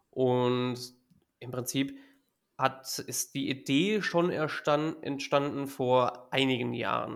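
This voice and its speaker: A man speaks at a very slow pace, his fairly high pitch held in a fairly even intonation. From Hesse, Germany (Gießen area). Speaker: football fan club board member. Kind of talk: casual chat.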